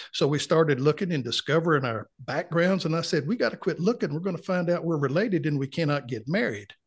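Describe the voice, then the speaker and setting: A man speaks very fast in a North Carolina accent. His intonation is lively. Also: fairly high pitch for a man, hardly any pauses. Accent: Southern US, North Carolina. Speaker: retired client. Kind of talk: casual interview chat.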